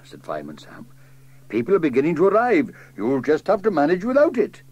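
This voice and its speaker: Moderate-paced male speech amid noticeable background noise. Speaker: narrator. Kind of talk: children's story reading.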